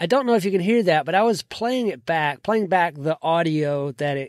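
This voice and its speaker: A man's lively intonation in a very clean recording with a silent background. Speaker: podcast host. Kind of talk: tutorial. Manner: trails off at sentence ends.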